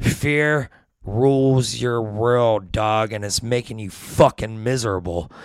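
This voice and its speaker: In a very clean recording with a silent background, a man with a normal speaking voice talks at a fairly slow pace and a medium pitch. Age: 40s. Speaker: addiction recovery and spiritual guest. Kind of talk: casual chat.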